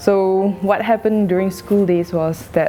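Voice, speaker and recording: The woman's medium-pitched voice stays fairly level in intonation, with clear background noise audible. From Singapore. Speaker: interviewee. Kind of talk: personal testimony.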